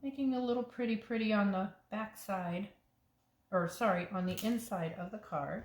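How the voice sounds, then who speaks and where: Here a woman talks with a somewhat breathy voice. The pace stays moderate. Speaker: paper crafting demonstrator. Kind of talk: crafting tutorial. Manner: casual, halting with fillers.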